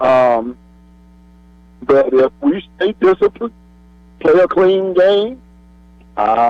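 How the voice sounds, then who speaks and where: Lively intonation in a man's voice set fairly high. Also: dry, close sound with no echo. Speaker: caller. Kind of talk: casual chat. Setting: phone call.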